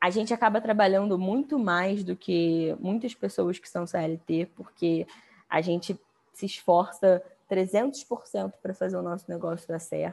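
A woman speaks in an unremarkable speaking voice at medium pitch, with ordinary pitch variation. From Brazil. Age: 20s. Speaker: business founder. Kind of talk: interview.

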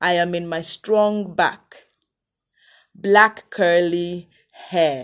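A woman's fairly low, fairly even voice at a very slow pace, broken by long, frequent pauses. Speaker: poet performing own piece. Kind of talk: spoken word poem. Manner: defiant, proud, declamatory; rhythmic, emphatic, repeating lines with warmth.

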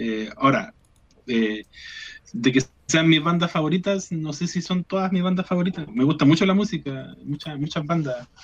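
A fairly high-pitched male voice at a moderate pace with lively intonation. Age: 30s. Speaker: rock guitarist and chemistry teacher. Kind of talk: radio interview. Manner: halting, many repetitions.

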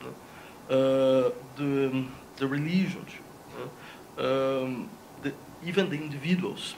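A man with a fairly high pitch and ordinary pitch variation speaks at a fairly slow pace, with long, frequent pauses. Audible room echo and noticeable background noise are present. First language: Portuguese. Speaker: philosophy professor. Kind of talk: debate. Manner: halting.

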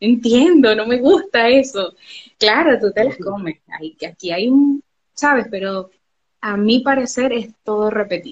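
A woman's fairly high-pitched, ordinary speaking voice, with lively intonation at a fairly slow pace. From Venezuela, Barcelona (Anzoátegui, eastern). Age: 30s. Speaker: travel agent. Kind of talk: interview.

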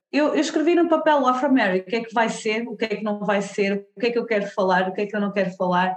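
A woman with a European Portuguese accent talks at a very fast pace with hardly any pauses. Her voice is fairly high-pitched, with lively intonation. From Portugal. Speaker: diversity consultant and content creator. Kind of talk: interview conversation.

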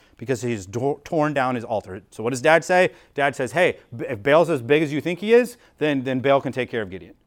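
With an American accent and an ordinary speaking voice, a man at medium pitch talks at a fairly quick pace with lively intonation on a very clean recording with a silent background. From US. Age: 30s. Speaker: pastor. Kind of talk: sermon. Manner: casual, filler-heavy.

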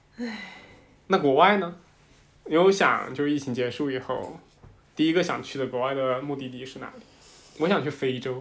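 Delivered at a moderate pace with long, frequent pauses, the voice shows ordinary pitch variation and big swings in loudness, with audible room echo. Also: man, fairly high pitch for a man. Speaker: podcast host. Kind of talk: casual chat.

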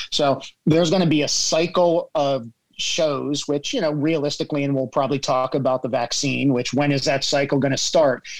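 Using an unremarkable speaking voice, a man talks at a fairly quick pace with a fairly high pitch and fairly even intonation. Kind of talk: casual group chat. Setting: video call.

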